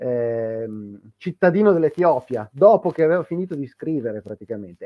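With lively intonation and a moderate pace, a man speaks over a quiet background in a dry sound with no echo. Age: 50s. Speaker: history podcaster. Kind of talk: casual chat. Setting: live stream. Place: home room. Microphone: video call.

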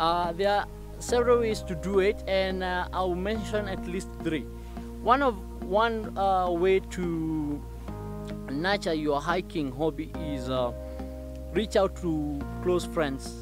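The speech moves at a very slow pace with long, frequent pauses, sounding dry with no echo while clear music plays in the background. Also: man. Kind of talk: informative talk to camera. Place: open country.

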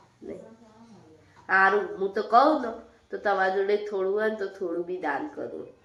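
Noticeable background noise behind a woman's voice with ordinary pitch variation. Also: medium pitch for a woman, big swings in loudness. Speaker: family vlogger. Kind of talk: casual vlog talk. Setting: at home.

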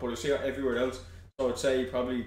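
A man talks very fast in a Dublin accent. There is noticeable background noise. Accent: Dublin Irish. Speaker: online content creator. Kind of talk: casual chat.

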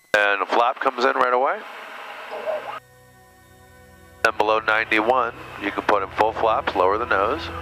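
Faint music sits in the background of a dry sound with no echo. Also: man. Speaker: flight instructor. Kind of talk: instruction. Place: plane. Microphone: headset.

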